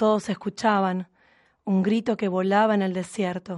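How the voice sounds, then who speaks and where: A woman's very slow speech at medium pitch, dark and mellow in tone, with fairly even intonation against a quiet background. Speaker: radio host. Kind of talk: scripted narration; casual chat.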